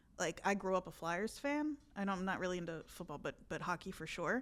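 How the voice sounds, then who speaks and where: A woman speaks at a fairly quick pace with a medium pitch and lively intonation. She has a slight Philadelphia accent, on a very clean recording with a silent background. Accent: slight Philadelphia-area. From South Jersey (Burlington and Camden counties). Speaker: podcast guest, regional expert. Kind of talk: casual chat.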